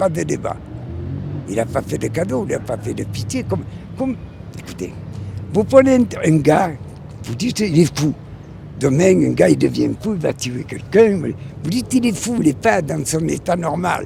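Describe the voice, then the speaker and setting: A man's voice at a moderate pace, with long, frequent pauses and music in the background. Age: 80s+. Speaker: passerby interviewed in street poll. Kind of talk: street interview. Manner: animated.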